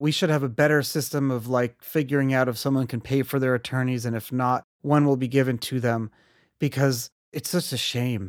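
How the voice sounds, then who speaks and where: An American man talks in a normal speaking voice at medium pitch and a moderate pace. His pitch varies in an ordinary way, and the sound is dry and close with no echo. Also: very clean recording, silent background. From US, Brooklyn, New York. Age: 30s. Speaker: entrepreneur and podcast host. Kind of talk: interview. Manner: casual, filler-heavy.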